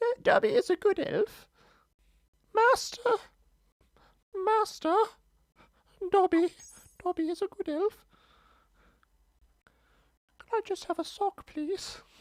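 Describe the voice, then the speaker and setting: In a squeaky, put-on character voice, the speaker talks at an extremely high pitch and a fairly slow pace. Long, frequent pauses break up the delivery. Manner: pleading.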